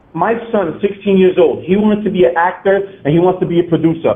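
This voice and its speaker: Amid noticeable background noise, a man talks at a fairly quick pace with a high pitch. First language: Spanish. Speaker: caller. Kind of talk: casual chat. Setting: phone call. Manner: fast.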